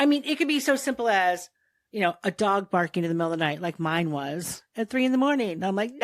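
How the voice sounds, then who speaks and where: A woman with an American accent talks at a very fast pace and medium pitch, her voice swinging very widely in pitch, in a dry, close recording with no echo. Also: very clean recording, silent background. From Ohio, US. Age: 60s. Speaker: nurse and airway researcher. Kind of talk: casual interview chat.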